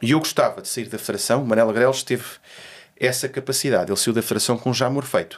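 A man speaks fairly quickly, his pitch varying in an ordinary way, with a quiet background behind him. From Portugal, Lisbon and Alentejo; Portugal. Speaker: golf federation president; interviewee. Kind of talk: interview. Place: studio. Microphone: studio mic.

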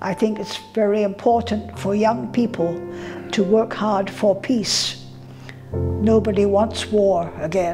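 A very slowly paced voice over clear background music. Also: woman. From Shanghai, China. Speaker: interviewee recalling history. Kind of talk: interview answer. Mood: earnest, warm reminiscing. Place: home room. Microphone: lapel.

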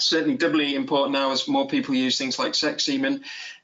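Here is a man talking in a Cheshire accent. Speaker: dairy farmer. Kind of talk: webinar presentation. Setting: video call. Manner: fast talker; halting, many repeated words.

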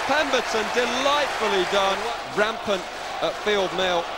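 Loud background noise fills this dry recording with no echo. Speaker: football commentator. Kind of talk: live football commentary.

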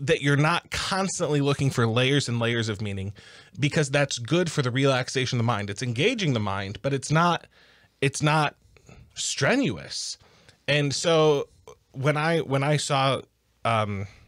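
The background is quiet while a man talks at a fairly slow pace. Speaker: podcast co-host. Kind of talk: casual podcast discussion. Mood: relaxed, slightly defensive. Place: studio. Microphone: studio mic.

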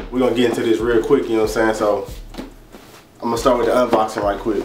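Very fast speech from a man, with noticeable background noise. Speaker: product reviewer. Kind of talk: casual vlog chat. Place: home room.

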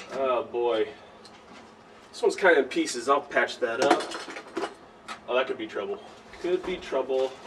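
A man talks at a moderate pace with long, frequent pauses, and there is noticeable background noise. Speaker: person cleaning out a locker. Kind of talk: comedic skit parody. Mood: mock-worried, humorous. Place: hall. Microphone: camera far.

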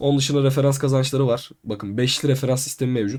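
Over a silent background on a very clean recording, a man speaks fairly quickly in a dark, mellow tone. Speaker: crypto YouTuber. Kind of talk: tutorial.

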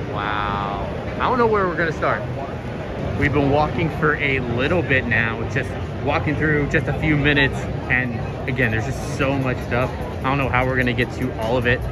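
Music plays in the background while a man talks at a moderate pace with ordinary pitch variation in a dry recording with no echo. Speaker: vlogger. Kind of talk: casual vlog chat. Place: hall. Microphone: phone near.

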